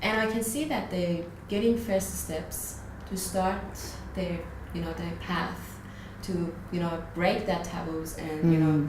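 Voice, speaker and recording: A woman in a Persian accent at a fairly slow pace, with long, frequent pauses, audible room echo and noticeable background noise. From Iran. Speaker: radio interviewer. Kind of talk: interview. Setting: video interview.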